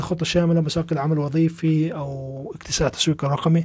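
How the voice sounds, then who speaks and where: A man with a Palestinian accent talks at a fairly quick pace. His pitch is fairly high and his tone is dark and mellow. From Palestine. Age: 30s. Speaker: programming instructor and podcast host. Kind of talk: live-stream Q&A talk. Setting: live stream. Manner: casual, animated.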